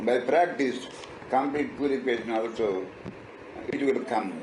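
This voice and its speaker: A man at medium pitch, moderate pace, music in the background. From Andhra Pradesh, South India. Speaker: spiritual teacher. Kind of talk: interview answer.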